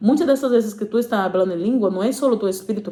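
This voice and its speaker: A woman with a Portuguese accent, very fast and with lively intonation, over noticeable background noise. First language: Portuguese (speaking Spanish). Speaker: preacher. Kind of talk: sermon. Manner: halting, many fillers.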